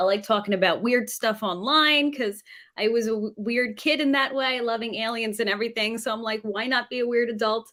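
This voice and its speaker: Speaking fairly quickly, a woman with a New York accent has a fairly high pitch. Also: fairly even intonation. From New York City suburbs. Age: 30s. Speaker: former teacher, live streamer. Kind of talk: casual chat.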